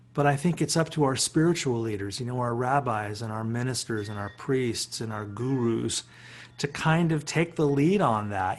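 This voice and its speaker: Speaking at a fairly slow pace, a man has an ordinary speaking voice and ordinary pitch variation. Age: 60s. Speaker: philosophy professor and musician. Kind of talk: reflective talk on a webinar. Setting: video call.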